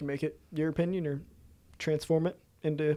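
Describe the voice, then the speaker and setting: On a very clean recording with a silent background, a man talks at a fairly quick pace in a fairly high pitch, his dark, mellow tone held in monotone, flat intonation. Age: 20s. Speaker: podcast host. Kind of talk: casual interview chat.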